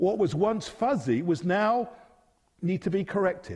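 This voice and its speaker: In an English accent, a man speaks at a fairly slow pace. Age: 50s. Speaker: preacher. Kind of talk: sermon.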